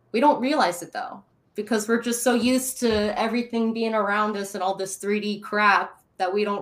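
A woman's animated voice at a medium pitch. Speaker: guest, star seed YouTuber. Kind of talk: casual interview chat, storytelling. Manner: animated, excitable.

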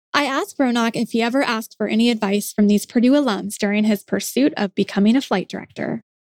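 Speech in an American accent rushes by at a very fast pace with ordinary pitch variation, the sound dry and close with no echo. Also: woman, fairly high pitch for a woman. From Indiana. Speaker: university podcast host. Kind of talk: interview; scripted narration.

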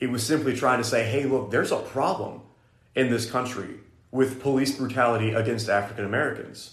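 A man speaks at a fairly quick pace in a medium pitch. His voice is somewhat breathy, with monotone, flat intonation. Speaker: podcast host, Bible college student. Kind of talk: casual faith discussion podcast.

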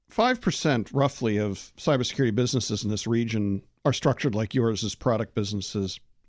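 A man speaks in a normal speaking voice at a moderate pace and medium pitch. The recording is very clean, with a silent background. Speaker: podcast host. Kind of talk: interview.

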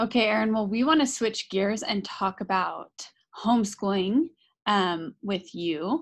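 In a normal speaking voice at a medium pitch, a woman with an American accent talks at a fairly slow pace with lively intonation against a quiet background. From Idaho, US. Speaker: parenting podcast co-host. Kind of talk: casual interview. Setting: recording studio.

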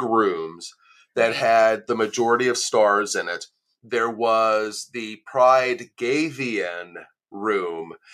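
A man speaks in an ordinary speaking voice at medium pitch. His pitch variation is ordinary. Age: 40s. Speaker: adult content creator and podcaster. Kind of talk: casual interview chat.

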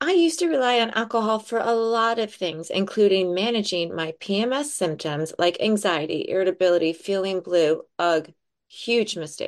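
A woman with an ordinary speaking voice talks at a medium pitch and a moderate pace, with lively intonation. She hardly pauses, and the background is quiet. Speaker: podcast host. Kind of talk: casual chat.

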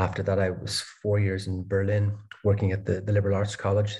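Very fast and somewhat breathy, a man with a Dublin accent speaks in a fairly low pitch with a dark, mellow tone. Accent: Irish (Dublin). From Ireland, Dublin. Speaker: philosophy researcher. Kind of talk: interview. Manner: halting, many fillers and repeated words.

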